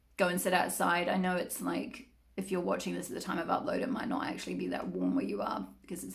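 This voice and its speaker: A woman talks over noticeable background noise, and the room echo is audible. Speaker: tarot reader. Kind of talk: tarot reading monologue. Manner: fast; chatty, animated.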